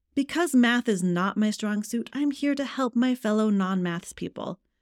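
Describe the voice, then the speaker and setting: A woman with a fairly high pitch speaks at a moderate pace in an upbeat, animated tone, recorded dry and close with no echo on a very clean track with a silent background. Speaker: podcast host and author coach. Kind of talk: solo podcast monologue. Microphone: brand new microphone.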